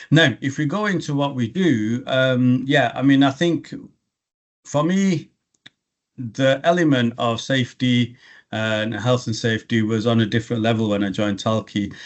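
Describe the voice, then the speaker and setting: A man with a strong English accent, medium pitch, ordinary pitch variation and a moderate pace. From England. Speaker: logistics regional director. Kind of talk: business interview. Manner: halting, many fillers and restarts.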